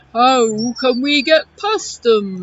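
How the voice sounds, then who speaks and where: A woman's high-pitched, put-on character voice. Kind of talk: bedtime story. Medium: read story. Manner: slow, plodding.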